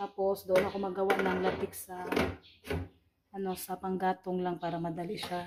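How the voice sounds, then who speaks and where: This woman's voice is medium in pitch and moves at a moderate pace. The intonation stays monotone and flat. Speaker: cooking vlogger. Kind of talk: casual vlog narration. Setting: home kitchen.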